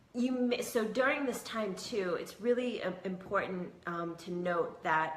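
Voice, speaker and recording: A woman at a fairly slow pace with ordinary pitch variation, in audible room echo. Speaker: hypnotherapist and spiritual video host. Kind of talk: casual monologue to camera.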